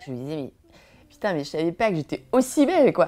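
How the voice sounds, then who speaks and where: A woman talks with vocal fry. Her pitch swings very widely. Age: 40s. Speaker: mother sharing personal story. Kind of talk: personal testimony. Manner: halting.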